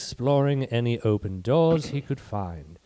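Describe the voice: Simply reading aloud, plain and direct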